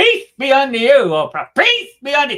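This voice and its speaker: A put-on character voice, high in pitch, raised and projected. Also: fairly quick pace. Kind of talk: preachy.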